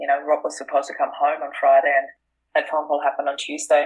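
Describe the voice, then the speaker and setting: The speaker is a woman. She has a German accent. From Austria. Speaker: author and speaker on grief. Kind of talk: interview.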